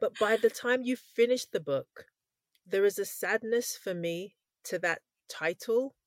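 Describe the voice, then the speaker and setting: A woman with a fairly high pitch and lively intonation speaks in an ordinary speaking voice, the sound dry and close with no echo. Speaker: podcast host. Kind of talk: interview.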